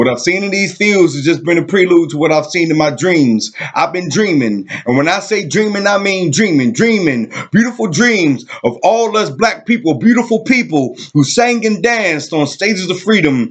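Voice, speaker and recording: Over noticeable background noise, a man with a high pitch speaks at a moderate pace, making very wide pitch swings with hardly any pauses. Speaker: poet. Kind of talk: spoken word poetry performance.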